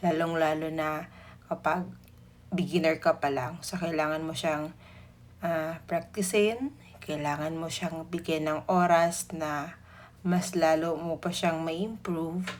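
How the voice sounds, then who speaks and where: A woman speaks at a fairly low pitch. Her pace is fairly slow. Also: fairly even intonation. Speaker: cake decorating instructor. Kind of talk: tutorial voice-over. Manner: sleepy-sounding; casual.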